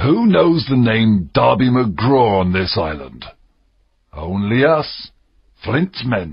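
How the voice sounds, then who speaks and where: Speaking very slowly, a man adopts a put-on character voice. His pitch sits in the middle of his range. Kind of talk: narrated fiction, adventure story. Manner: quiet, frightened, hushed.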